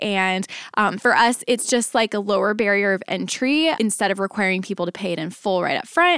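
Speaking in an unremarkable speaking voice, a woman keeps a moderate pace at medium pitch. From Dallas, Texas. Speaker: family photographer and podcast host. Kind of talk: solo podcast tutorial. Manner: upbeat, conversational.

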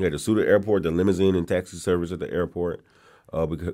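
A man with a very deep, low pitch and a dark, mellow tone talks at a very fast pace in an American accent. The recording is very clean, with a silent background. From California, San Bernardino. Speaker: museum education director and historian. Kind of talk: interview, storytelling history.

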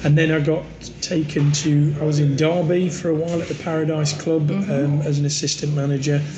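A man in an East Midlands accent, fairly high-pitched, monotone and flat, at a fairly quick pace, with audible room echo and noticeable background noise. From English Midlands. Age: 50s. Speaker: pub landlord. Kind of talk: casual interview chat.

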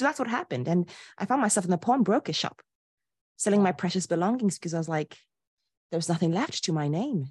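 A somewhat breathy woman at medium pitch talks very fast, her pitch swinging very widely, with long, frequent pauses. The sound is dry and close with no echo, over a quiet background. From Ghana. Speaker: life and business coach. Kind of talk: interview. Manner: animated.

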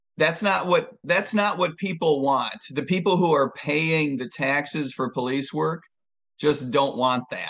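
Against a quiet background, a man speaks at a very slow pace with a fairly high pitch and ordinary pitch variation. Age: 60s. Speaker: presidential candidate, former police officer and economist. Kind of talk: interview.

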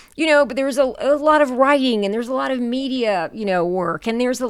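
An unremarkable speaking voice from a woman, fairly high, fairly quick and with lively intonation, in an American accent, on a very clean recording with a silent background. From US South. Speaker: performing artist and storyteller. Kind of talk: interview.

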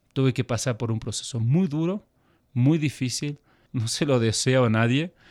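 A man speaks in a plain, everyday voice at medium pitch and a moderate pace, with ordinary pitch variation. The recording is very clean with a silent background, its sound dry and close with no echo. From Argentina, then Switzerland from age 12. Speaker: missionary. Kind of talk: interview conversation. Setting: studio.

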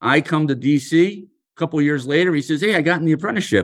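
A man with an American accent speaks at a moderate pace and a fairly high pitch. It is an unremarkable speaking voice, with ordinary pitch variation. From US Northeast, Philadelphia. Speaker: union leader. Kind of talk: interview.

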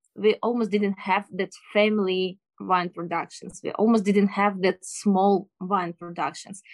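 A woman with a Ukrainian accent speaks at a medium pitch and a fairly slow pace, with ordinary pitch variation. The sound is dry and close, with no echo. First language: Ukrainian or Russian. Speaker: sommelier. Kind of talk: interview. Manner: halting. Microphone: bad internet connection.

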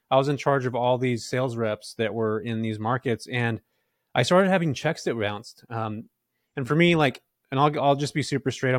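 A man talks at a fairly quick pace with a medium pitch. The sound is dry and close with no echo, and the recording is very clean over a silent background. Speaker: podcast guest. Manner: casual, energetic, talkative.

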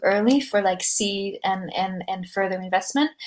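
This is a woman speaking. Noticeable background noise runs under her voice. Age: 20s. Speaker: startup founder. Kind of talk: casual interview chat. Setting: video call.

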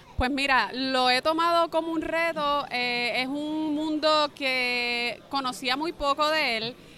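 A woman talks in a raised, projected voice at a high pitch. Her pace is very slow, with hardly any pauses. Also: fairly even intonation. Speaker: government secretary of sports. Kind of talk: interview. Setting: convention center event.

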